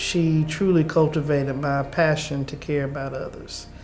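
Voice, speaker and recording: Audible room echo surrounds a woman speaking in a North Carolina accent. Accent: Southern US, North Carolina. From North Carolina, Rocky Mount. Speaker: lawyer. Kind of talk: interview testimony.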